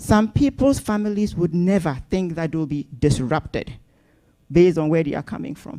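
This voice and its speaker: A woman speaks at a moderate pace in a dark, mellow tone with a fairly low pitch. Her intonation is lively and her loudness swings widely. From northern Ghana. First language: Napt (Ghanaian language). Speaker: community organization speaker. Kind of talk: welcome speech to audience. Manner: hesitant with fillers.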